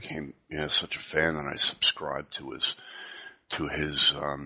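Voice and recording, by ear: Quiet and slow, the voice has a bright, sharp tone with a slightly husky edge and little pitch movement. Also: man.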